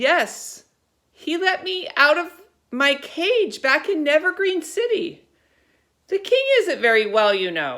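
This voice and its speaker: A put-on character voice, high-pitched and fairly slow, swings very widely in pitch. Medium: read story. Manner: suspicious.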